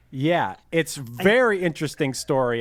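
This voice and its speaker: With a Pittsburgh accent and lively intonation, the speaker goes at a moderate pace on a very clean recording with a silent background. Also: man. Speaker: podcast host. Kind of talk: casual chat.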